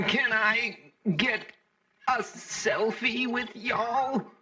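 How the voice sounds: A woman does a put-on character voice, fairly high in pitch, with a bright, sharp tone. Her intonation is fairly even and her pace very slow.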